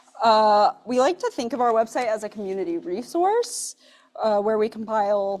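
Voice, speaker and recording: A woman talks at a moderate pace with lively intonation and a fairly high pitch. The recording is very clean, with a silent background. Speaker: nonprofit programs director. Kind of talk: event introduction. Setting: brewery event with live audience, hybrid. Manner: loud.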